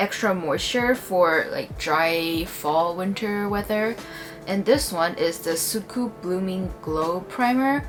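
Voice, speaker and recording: With music in the background, a woman speaks at a very slow pace in a Chinese accent, at medium pitch with ordinary pitch variation. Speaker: beauty vlogger. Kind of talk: product review tutorial. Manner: casual, hesitant with fillers.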